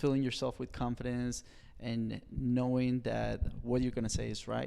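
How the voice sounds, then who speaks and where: A man speaks at a moderate pace with a Colombian accent. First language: Spanish. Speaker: personal trainer. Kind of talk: podcast interview.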